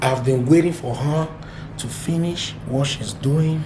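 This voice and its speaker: With noticeable background noise and audible room echo, a man speaks at a fairly slow pace in a fairly high voice with ordinary pitch variation. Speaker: family vlogger. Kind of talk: casual vlog.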